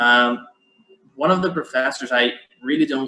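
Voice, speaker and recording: Man with a Portuguese accent, medium pitch, fairly even intonation and a bright, sharp tone. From Brazil. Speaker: event moderator, law scholar. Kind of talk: academic panel discussion. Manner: halting, many repetitions.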